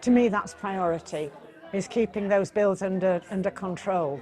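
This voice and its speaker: Over crowd noise in the background, a woman with a medium pitch speaks at a fairly slow pace. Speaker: pensioner. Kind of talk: interview.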